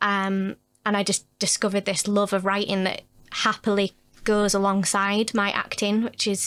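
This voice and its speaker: A woman speaks in a northern English accent at a medium pitch and moderate pace. The recording is very clean with a silent background. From northern England, Huddersfield. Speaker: actor and writer. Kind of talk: casual chat.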